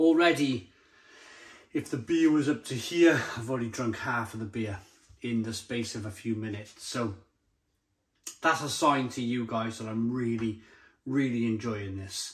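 A man speaks at a moderate pace with ordinary pitch variation and a somewhat breathy voice. He leaves long, frequent pauses. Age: 40s. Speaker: beer reviewer. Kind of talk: product review. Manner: animated. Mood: enthusiastic, jovial. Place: kitchen. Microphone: phone near.

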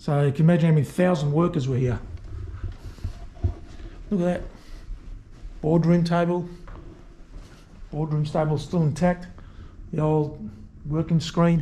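Using fairly even intonation, a man talks at a moderate pace with long, frequent pauses. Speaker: urban explorer vlogger. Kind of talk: casual vlog chat. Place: office. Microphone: phone near.

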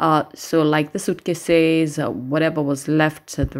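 A woman with a low voice speaks slowly, her intonation fairly even.

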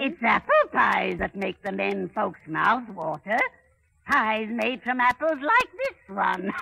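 Someone speaks at a fairly slow pace and fairly high pitch in a put-on character voice. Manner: wheedling, sinister.

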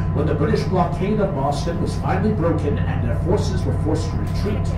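Fairly quick speech with audible room echo and music in the background. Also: man. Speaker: tour guide. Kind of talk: tour narration. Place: boat. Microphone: pa.

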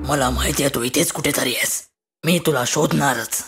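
The voice is raspy, with ordinary pitch variation. It moves at a moderate pace. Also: man, medium pitch for a man. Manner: determined, reassuring.

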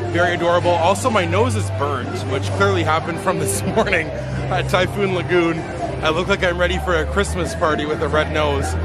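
Loud music plays in the background as a man talks at a fairly quick pace in a dry sound with no echo. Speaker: vlogger. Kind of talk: casual vlog chat. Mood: cheerful, upbeat. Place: street. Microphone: phone near.

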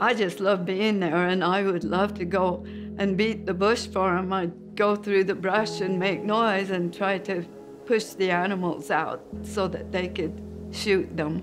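Over clear music in the background, a woman with an American accent speaks fairly slowly with monotone, flat intonation. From Utah, USA. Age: 80s+. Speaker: hunter. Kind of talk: interview answer. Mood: warm, reminiscing. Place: home room.

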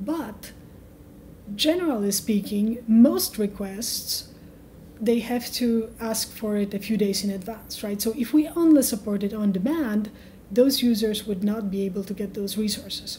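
This woman has a dark, mellow tone at a medium pitch. She speaks fairly slowly with ordinary pitch variation.

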